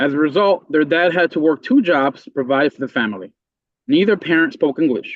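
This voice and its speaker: Lively intonation marks this man's speech, delivered with a Spanish accent. He talks at a fairly quick pace with a fairly high pitch. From Puerto Rico, then Meriden, Connecticut. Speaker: member of the public testifying. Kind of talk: public hearing testimony. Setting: legislative committee hearing.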